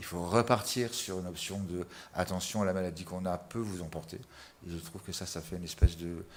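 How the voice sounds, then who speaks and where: Hardly pausing, a man with a very deep, low voice keeps a fairly even intonation while his loudness swings widely. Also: moderate pace. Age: 60s. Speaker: patient giving testimony. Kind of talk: testimony. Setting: webinar video call.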